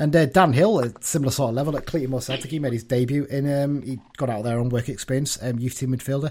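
Somewhat breathy, a man talks at a very fast pace with hardly any pauses and ordinary pitch variation. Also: medium pitch for a man. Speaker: podcast host. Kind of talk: casual chat.

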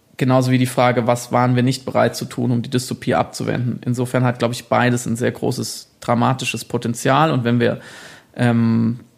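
The recording is very clean, with a silent background. The speaker talks at a moderate pace. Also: man. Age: 30s. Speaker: author and journalist. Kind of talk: interview. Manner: halting, many fillers.

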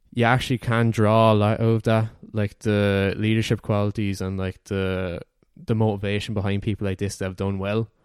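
Fairly low-pitched man at a moderate pace, monotone and flat in intonation, in a very clean recording with a silent background. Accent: Irish. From Ireland, Wexford. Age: 20s. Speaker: university student. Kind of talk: casual chat.

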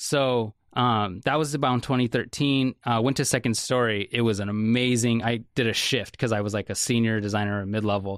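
A man with an American accent and an unremarkable speaking voice talks at a moderate pace and medium pitch, with fairly even intonation, very even loudness and hardly any pauses against a quiet background. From Salem, Oregon. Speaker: creative director. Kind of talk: casual chat.

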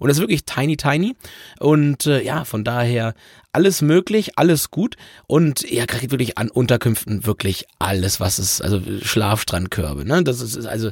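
Lively intonation marks this man's moderate-paced speech. The sound is dry and close, with no echo. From southern Lower Saxony. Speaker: travel podcast host. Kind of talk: casual chat.

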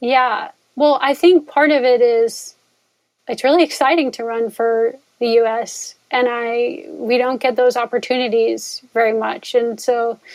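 This woman has an American accent and a plain, everyday voice. She speaks at a fairly slow pace, fairly high in pitch, with fairly even intonation. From US Northeast, northwest New Jersey. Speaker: philosophy professor and ultrarunner. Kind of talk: casual interview conversation.

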